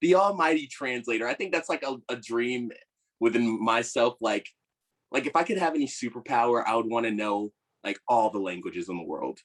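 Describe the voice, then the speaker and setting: A normal speaking voice with an American accent moves at a fairly quick pace with lively intonation, in a dry, close sound with no echo. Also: man, medium pitch for a man. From Virginia, US. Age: 20s. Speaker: actor. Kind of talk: casual interview chat.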